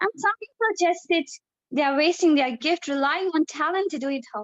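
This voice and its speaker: A woman speaks with a non-native accent. Her voice is high-pitched. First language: not English. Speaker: debate participant. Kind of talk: debate speech. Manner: halting.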